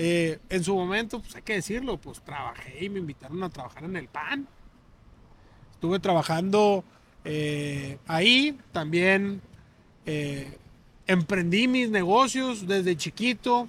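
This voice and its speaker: Delivered at a very slow pace, the speech has lively intonation and big swings in loudness. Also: man, high pitch for a man. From Hermosillo, Sonora, Mexico. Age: young. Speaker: businessman. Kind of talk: casual chat.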